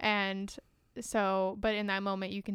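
A woman talks in a plain, everyday voice. Her pitch is medium, with ordinary variation. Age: 20s. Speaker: movie podcast co-host. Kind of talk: casual chat.

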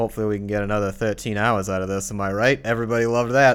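Recorded very cleanly with a silent background, a man with a Boston accent speaks at a fairly low pitch with fairly even intonation. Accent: putting on a Boston accent for a bet. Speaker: podcast host. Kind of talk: casual chat.

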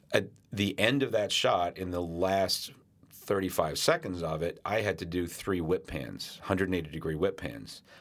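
A man with an American accent speaks at a very deep, low pitch with ordinary pitch variation. His moderate pace comes through on a very clean recording with a silent background. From London, England to age six, then US. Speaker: cinematographer, former Steadicam operator. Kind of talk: casual interview chat. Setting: studio.

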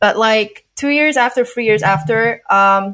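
A woman speaks in a fairly high pitch with ordinary pitch variation. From Poland. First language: not English. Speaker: adult film performer and director. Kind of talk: interview.

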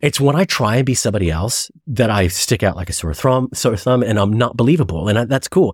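Speaking fairly quickly with hardly any pauses, a man with an American accent uses lively intonation and sounds somewhat breathy. The recording is very clean, with a silent background. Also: medium pitch for a man. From US Midwest (Chicago). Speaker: actor and podcast host. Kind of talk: casual chat. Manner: halting, many false starts; animated.

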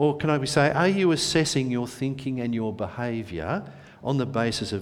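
A man with an ordinary speaking voice talks at a moderate pace with lively intonation. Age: 60s. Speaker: preacher. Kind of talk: prayer; sermon. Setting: church.

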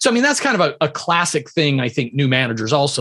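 The delivery comes at a fairly quick pace. It is a normal speaking voice. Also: man. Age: 50s. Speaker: entrepreneur and leadership author. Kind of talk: interview.

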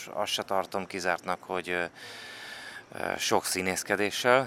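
A man speaks at a fairly slow pace in a bright, sharp tone. His intonation stays fairly even. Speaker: sports journalist. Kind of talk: casual chat. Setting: on location at the Olympics.

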